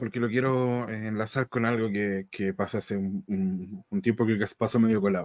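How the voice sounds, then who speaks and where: Heard at a moderate pace in a dry, close sound with no echo, a man with a Chilean accent keeps a fairly even intonation on a very clean recording with a silent background. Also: fairly low pitch for a man, hardly any pauses. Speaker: wrestling podcast panelist. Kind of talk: casual chat.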